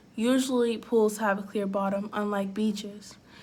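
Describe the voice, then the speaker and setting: A woman's somewhat breathy voice stays monotone and flat. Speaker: student. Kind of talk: school debate presentation read.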